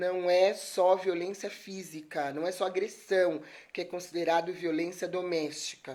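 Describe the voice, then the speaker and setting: Speaking at a fairly slow pace, a woman with a fairly low pitch keeps a monotone, flat intonation. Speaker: lawyer giving a talk. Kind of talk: live stream talk. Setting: live stream. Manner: soft-spoken.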